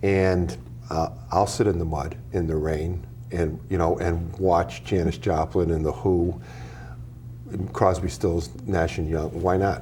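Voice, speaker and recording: This man's voice is very deep and low, with ordinary pitch variation, and he talks at a fairly slow pace with long, frequent pauses. Noticeable background noise and audible room echo fill the recording. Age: 60s. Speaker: author. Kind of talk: interview. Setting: TV studio. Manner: halting.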